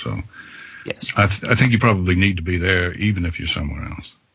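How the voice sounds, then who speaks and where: Over noticeable background noise, a man with a very deep, low voice talks at a fairly quick pace. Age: 60s. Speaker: fanfic audiobook narrator. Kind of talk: casual chat.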